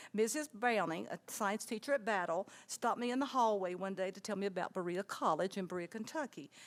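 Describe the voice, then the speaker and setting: The pace is fairly quick with ordinary pitch variation, on a very clean recording with a silent background. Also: woman. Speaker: retired teacher. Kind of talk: life story talk. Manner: fast.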